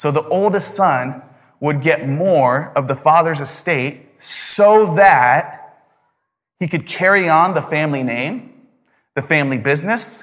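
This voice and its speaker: Speaking at a fairly slow pace, a man uses a normal speaking voice pitched fairly high. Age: 30s. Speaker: pastor. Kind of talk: sermon. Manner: conversational.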